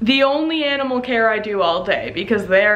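Her intonation lively, a woman is talking. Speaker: pet vlogger. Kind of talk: casual vlog chat. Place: home room. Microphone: phone near.

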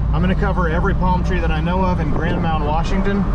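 Loud background noise behind a man speaking. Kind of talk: casual vlog commentary. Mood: relaxed, mildly wry. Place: car. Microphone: phone near.

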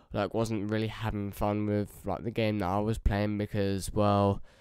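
A man with a fairly low pitch speaks at a moderate pace in a monotone, flat way. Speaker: gaming YouTuber. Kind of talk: casual recorded narration; game trailer reaction. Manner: halting, many fillers.

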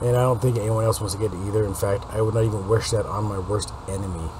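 A man with a fairly low voice speaks very fast, his intonation fairly even. Noticeable background noise can be heard. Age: 40s. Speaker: political news commentator. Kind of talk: news commentary monologue. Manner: rambling, self-correcting.

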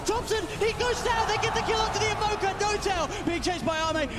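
A man rattles along at a very fast pace, his pitch varying in an ordinary way, with noticeable background noise around him. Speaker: esports caster. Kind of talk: live esports commentary. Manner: fast, excitable play-by-play; rising, breathless urgency in tense fights.

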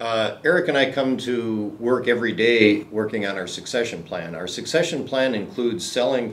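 A man speaks at a fairly quick pace with ordinary pitch variation. Light background noise is present. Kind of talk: interview answer. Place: meeting room.

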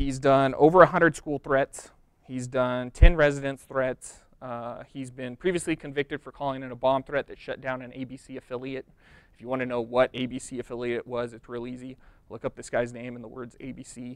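A man speaks in a monotone with flat intonation. The sound is dry with no echo. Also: moderate pace. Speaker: presenter. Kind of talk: lecture. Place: hall. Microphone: lapel.

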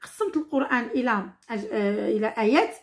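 A woman with a Moroccan accent speaks at a fairly slow pace. Her pitch swings very widely over a quiet background. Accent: Moroccan Darija. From Morocco. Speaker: teacher. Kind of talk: tutorial. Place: home room. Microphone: phone near.

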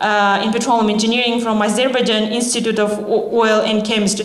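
Noticeable background noise is audible. Over it, the woman's voice sits fairly high. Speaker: event organizer. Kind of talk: formal introduction. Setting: stage with audience.

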